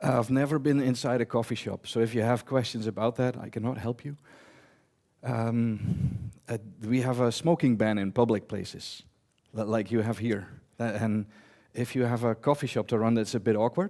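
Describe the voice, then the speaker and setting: A man with a Dutch accent speaks at a medium pitch in a dark, mellow tone, his intonation fairly even. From eastern Netherlands. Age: 40s. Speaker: database technology conference speaker. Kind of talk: conference talk. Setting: stage with audience. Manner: fast; loud.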